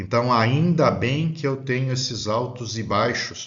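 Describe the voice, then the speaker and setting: Amid audible room echo, a man speaks somewhat breathily at a medium pitch and a fairly slow pace. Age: 60s. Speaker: spiritist lecturer. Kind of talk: lecture. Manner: halting.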